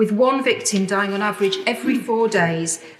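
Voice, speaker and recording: With noticeable background noise behind her, a woman speaks in a serious tone at medium pitch and a moderate pace, with ordinary pitch variation. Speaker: member of parliament. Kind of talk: parliamentary speech. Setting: legislative chamber. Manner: serious, impassioned.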